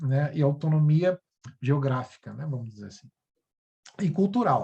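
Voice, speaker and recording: A man with a fairly high pitch and a dark, mellow tone sounds somewhat breathy, with ordinary pitch variation. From Brasília, Federal District, Brazil. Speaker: university English teacher. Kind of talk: educational video presentation. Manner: halting, many fillers.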